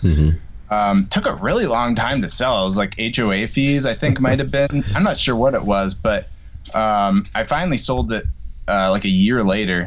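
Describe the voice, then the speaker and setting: Over light background noise, a man with an unremarkable speaking voice and fairly low pitch talks with lively intonation. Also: moderate pace. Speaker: guest. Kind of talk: interview answer. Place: home room. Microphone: video call.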